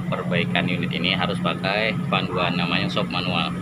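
Loud background noise runs throughout. Over it, a man speaks at a fairly quick pace. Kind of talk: casual vlog tour. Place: open country. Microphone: phone near.

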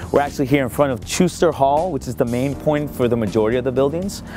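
Very fast speech from a man, dry with no echo and faint music in the background. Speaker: campus tour guide. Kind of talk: tour presentation to camera. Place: street.

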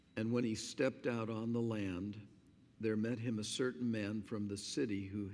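A man speaks quietly at a fairly low pitch. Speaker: pastor. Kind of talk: sermon. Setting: church. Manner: slow and quiet to save voice. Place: church. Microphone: podium.

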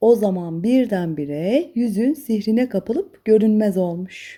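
Medium in pitch, a woman speaks in a dark, mellow tone. Her pace is fairly slow, her intonation lively.

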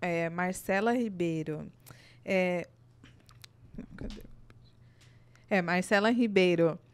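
A woman speaks at a very slow pace with ordinary pitch variation, leaving long, frequent pauses. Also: medium pitch for a woman. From Brazil. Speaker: podcast host. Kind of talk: reading out listener questions; casual chat. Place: studio. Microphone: studio mic.

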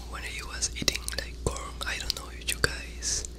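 A soft-spoken man whispering, dry sound with no echo, and noticeable background noise. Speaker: ASMR creator. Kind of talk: soft-spoken ASMR intro chat. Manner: soft close-mic ASMR whisper. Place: home room. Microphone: studio mic.

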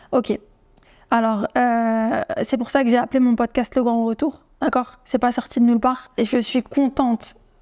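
The tone is dark and mellow, delivered at a fairly slow pace in a monotone, flat intonation. Loudness stays very even over a quiet background. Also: woman, high pitch for a woman. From France. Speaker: YouTuber; vlogger. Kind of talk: vlog to camera; casual vlog chat. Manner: hesitant, many fillers. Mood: firm, indignant but calm. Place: home room. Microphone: lapel.

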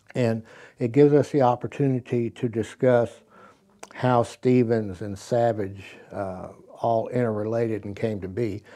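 A man speaks against a quiet background. His tone is dark and mellow. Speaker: presenter. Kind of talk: tutorial. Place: studio.

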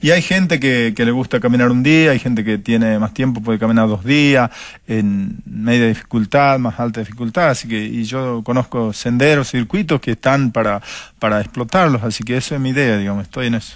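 A man speaks with ordinary pitch variation. The sound is dry with no echo, and the background is quiet. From Argentina, Jujuy highlands. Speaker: mountain guide. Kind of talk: interview. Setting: studio. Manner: halting, many repetitions and fillers. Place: studio. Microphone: lapel.

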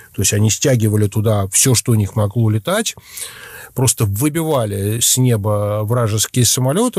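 The voice is somewhat breathy, with a dark, mellow tone and ordinary pitch variation at a moderate pace. The sound is dry and close, with no echo. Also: man. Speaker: journalist. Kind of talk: casual chat.

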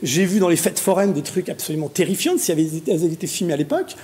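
A man speaks with a high pitch. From Paris suburbs, France; France. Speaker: pharmacy association president and local councillor; talk show panelist. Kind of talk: TV panel debate. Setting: TV studio. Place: studio. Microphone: lapel.

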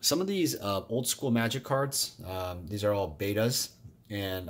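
A man speaks in a plain, everyday voice, fairly low in pitch with ordinary pitch variation. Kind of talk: casual vlog chat. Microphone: phone near.

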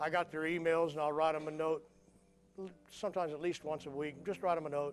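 A man with a fairly high voice talks very fast in a flat monotone, with faint music in the background. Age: 60s. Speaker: pastor. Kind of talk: sermon. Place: church.

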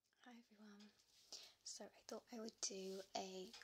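Whispering, a woman speaks at a very slow pace. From England. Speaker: ASMR creator. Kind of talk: ASMR soft-spoken show and tell. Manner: soft-spoken, partly whispered. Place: home room. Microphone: studio mic.

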